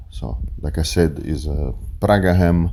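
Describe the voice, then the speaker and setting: A man with an Italian accent speaks very slowly at a very deep, low pitch with ordinary pitch variation. Audible room echo and noticeable background noise surround him. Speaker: chef and restaurant owner. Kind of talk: cooking tutorial. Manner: hesitant, many fillers.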